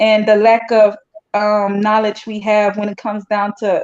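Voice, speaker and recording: At a fairly slow pace, a woman speaks in a fairly high pitch. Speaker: guest, Israel-born Hebrew Israelite. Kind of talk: interview.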